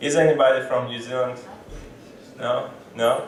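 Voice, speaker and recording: Amid audible room echo and noticeable background noise, a man talks at a very slow pace. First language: Russian. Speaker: stand-up comedian. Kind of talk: stand-up. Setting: stage with audience. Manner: halting.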